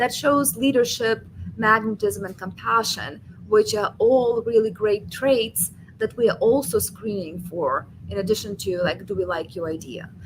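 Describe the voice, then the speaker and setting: A woman's fairly high voice with vocal fry and a non-native accent, at a moderate pace with ordinary pitch variation. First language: not English. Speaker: venture capital investor. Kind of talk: webinar talk.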